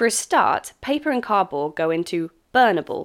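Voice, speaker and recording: A woman with a British accent and very wide pitch swings, on a very clean recording with a silent background. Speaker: English teacher living abroad, memoir narrator. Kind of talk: reading aloud own memoir. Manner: formal.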